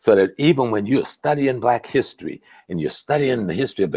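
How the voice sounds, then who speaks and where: Vocal fry runs through very fast speech with lively intonation. The sound is dry with no echo, over a quiet background. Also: man. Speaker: professor, activist, lecturer; professor, lecturer. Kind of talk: interview answer. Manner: calm delivery. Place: home room. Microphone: earbuds.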